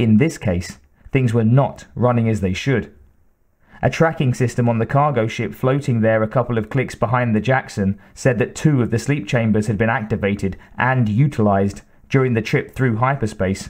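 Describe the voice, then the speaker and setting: A man with an unremarkable speaking voice talks at a moderate pace and a medium pitch. His pitch varies in an ordinary way, and the background is quiet. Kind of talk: audiobook reading aloud. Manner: even, measured narrator's pace.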